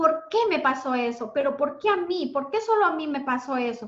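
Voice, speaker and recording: Her voice high in pitch, a woman speaks at a fairly slow pace. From Ecuador. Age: 40s. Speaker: self-esteem mentor. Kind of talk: interview testimony.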